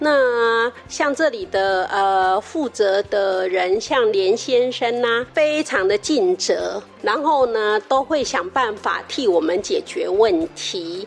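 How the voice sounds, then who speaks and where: Noticeable background noise sits behind a woman with a fairly high pitch and lively intonation. She speaks at a very slow pace with hardly any pauses. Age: 60s. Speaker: retired teacher attending senior class. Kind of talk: interview. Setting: community health center.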